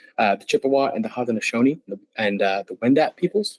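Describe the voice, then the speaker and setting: With lively intonation and a medium pitch, a man talks very fast in a dry, close sound with no echo. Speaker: dog trainer. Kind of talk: webinar presentation.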